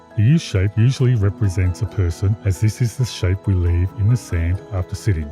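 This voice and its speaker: With music playing in the background, a man with a fairly low pitch talks at a fairly quick pace and with ordinary pitch variation. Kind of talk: explainer narration.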